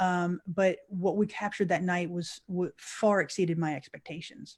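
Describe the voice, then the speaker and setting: A woman with an unremarkable speaking voice at a medium pitch and fairly even intonation. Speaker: paranormal investigator. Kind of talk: interview answer, storytelling.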